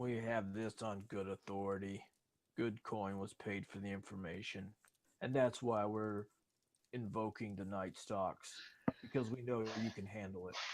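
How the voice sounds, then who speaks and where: Using a gruff put-on character voice, a man speaks at a fairly low pitch and moderate pace, with long, frequent pauses. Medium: actual play. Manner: brusque, contemptuous.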